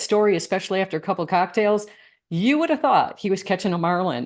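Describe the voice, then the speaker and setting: An unremarkable speaking voice from a woman with an American accent, medium in pitch, ordinary in pitch variation, fairly quick in pace, over a quiet background. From Michigan. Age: 60s. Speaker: coach. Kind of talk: interview.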